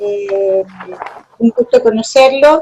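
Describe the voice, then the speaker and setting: This is a woman's voice. It sits high in pitch. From Chile. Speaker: university lecturer. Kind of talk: lecture. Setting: video call.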